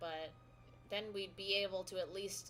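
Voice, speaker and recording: With music in the background, the woman's speech has ordinary pitch variation. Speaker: gaming streamer. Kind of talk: casual chat. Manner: loud.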